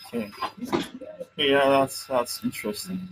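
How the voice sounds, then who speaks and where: Music plays in the background as a man with a Nigerian accent speaks at a moderate pace with ordinary pitch variation. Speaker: interviewer, business consultant. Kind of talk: interview. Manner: hesitant.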